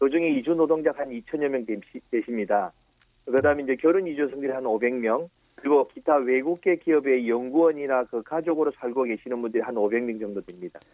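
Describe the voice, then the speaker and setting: With a normal speaking voice, a man talks at a fairly quick pace and medium pitch, using ordinary pitch variation. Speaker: support center director. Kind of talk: radio interview.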